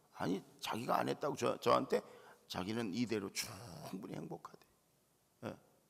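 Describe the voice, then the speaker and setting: Using very wide pitch swings and vocal fry, a man talks at a moderate pace with long, frequent pauses. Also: medium pitch for a man. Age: 60s. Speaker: pastor. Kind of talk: sermon. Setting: church.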